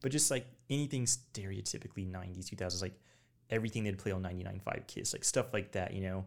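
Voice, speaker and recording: At a very fast pace, a man speaks in a fairly low pitch with ordinary pitch variation, in a very clean recording with a silent background. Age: 20s. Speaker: military veteran, former weather forecaster. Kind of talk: casual chat.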